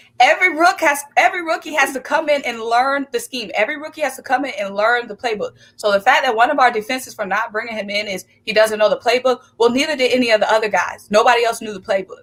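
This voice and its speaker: A woman talks at a very fast pace with hardly any pauses, her voice high-pitched. Her tone is animated, and her loudness swings widely. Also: lively intonation. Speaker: sports commentator. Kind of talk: sports talk livestream.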